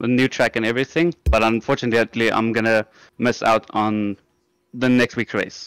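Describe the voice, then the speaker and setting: In an unremarkable speaking voice, a man at medium pitch talks at a moderate pace with fairly even intonation and very even loudness, the sound dry and close with no echo on a very clean recording with a silent background. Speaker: sim racing driver. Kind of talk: post-race interview.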